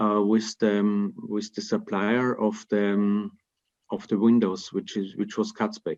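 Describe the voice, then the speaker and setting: The pace is very slow. The background stays quiet. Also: man. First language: German (Austrian dialect). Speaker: timber construction company representative; panelist. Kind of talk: webinar Q&A. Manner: halting, many repetitions and fillers. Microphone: video call.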